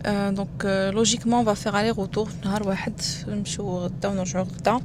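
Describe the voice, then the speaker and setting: A woman talks at a fairly quick pace with medium pitch and fairly even intonation. Audible room echo and noticeable background noise fill the recording. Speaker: vlogger. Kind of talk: casual vlog talk to camera.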